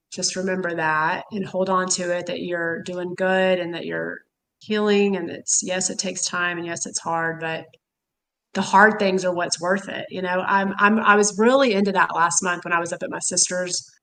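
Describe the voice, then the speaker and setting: Speaking with a Texan accent, a woman uses a medium pitch and fairly even intonation, her tone bright and sharp. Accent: Texan southern drawl. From Texas, Houston. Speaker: caffeine quitting supporter. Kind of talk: casual chat. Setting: livestream.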